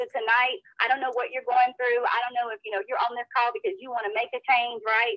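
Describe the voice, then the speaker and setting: A woman talks at a fairly quick pace with a high pitch, ordinary pitch variation and hardly any pauses. The sound is dry with no echo, and the background is quiet. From North Carolina. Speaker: co-host. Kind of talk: call hosting. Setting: phone call. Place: home room. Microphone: video call.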